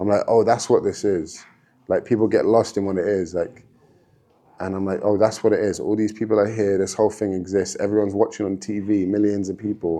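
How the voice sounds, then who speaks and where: A man's dark, mellow voice, fairly low-pitched, with fairly even intonation and a fairly quick pace. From London, England. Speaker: MMA fighter. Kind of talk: casual podcast interview. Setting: gym.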